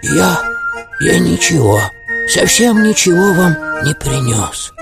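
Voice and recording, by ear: Slowly, a man speaks in a put-on character voice with vocal fry, a fairly bright tone and a fairly high pitch. His pitch swings widely over faint music in the background.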